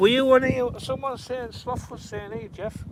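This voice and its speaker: A high-pitched man with a Cumbrian accent at a moderate pace, amid noticeable background noise. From northern England, Carlisle. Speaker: fishing livestreamer. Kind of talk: casual chat. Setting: outdoors.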